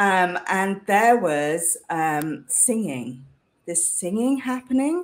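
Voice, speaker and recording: In a British accent, a woman talks at a very slow pace with very wide pitch swings. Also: medium pitch for a woman. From UK. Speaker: leadership coach. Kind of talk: interview conversation.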